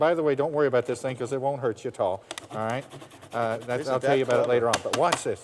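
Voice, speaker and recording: Over noticeable background noise, a man sounds enthusiastic as he speaks with an American accent. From US Southwest. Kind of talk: infomercial demonstration. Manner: enthusiastic, folksy.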